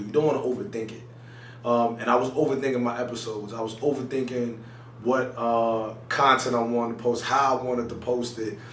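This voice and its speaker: A man's fairly quick, monotone delivery with flat intonation, noticeable background noise and audible room echo. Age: 20s. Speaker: YouTuber. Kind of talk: casual vlog talk to camera. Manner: choppy at times; casual, lots of fillers.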